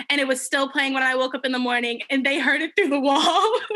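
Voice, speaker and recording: Raising and projecting her voice, a woman speaks at a high pitch. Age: 20s. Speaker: podcast co-host. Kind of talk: casual chat. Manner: animated.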